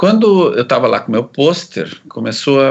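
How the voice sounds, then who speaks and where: A man's pitch swings very widely while he talks at a very slow pace. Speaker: psychiatrist and researcher. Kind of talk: interview, life story.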